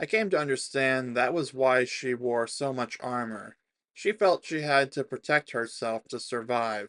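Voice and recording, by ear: The speaker reads aloud in a natural voice. Nothing much stirs in the quiet background.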